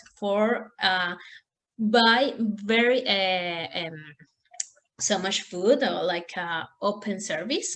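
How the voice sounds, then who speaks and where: A woman's medium-pitched voice with a Spanish accent and ordinary pitch variation. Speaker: language student. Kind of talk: class presentation. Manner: halting.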